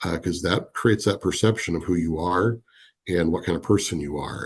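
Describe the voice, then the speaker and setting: Against a quiet background, a somewhat breathy voice carries fairly even intonation. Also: man. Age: 50s. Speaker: business leader. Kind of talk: podcast interview.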